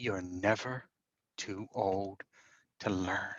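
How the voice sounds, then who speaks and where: A man puts on a character voice, pitched fairly low, with fairly even intonation. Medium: read story. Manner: resolute, plainspoken.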